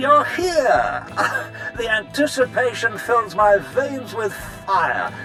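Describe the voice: A man puts on a character voice, high in pitch with a bright, sharp tone and big pitch swings. He speaks at a slow pace as faint music plays in the background.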